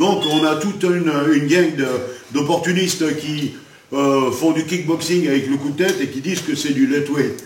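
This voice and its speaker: A man with a fairly high pitch speaks at a moderate pace and fairly even intonation. There's audible room echo and noticeable background noise. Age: 60s. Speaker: martial arts grandmaster. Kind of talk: interview. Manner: halting.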